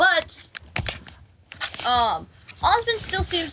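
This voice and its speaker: With a Southern US accent, a woman speaks in very wide pitch swings. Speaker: fan podcast co-host. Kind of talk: casual group chat.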